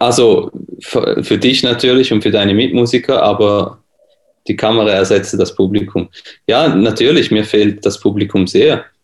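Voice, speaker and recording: Keeping his loudness very even, a man with a medium pitch speaks at a moderate pace with fairly even intonation. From Switzerland. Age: 20s. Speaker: pianist and music teacher. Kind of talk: casual interview.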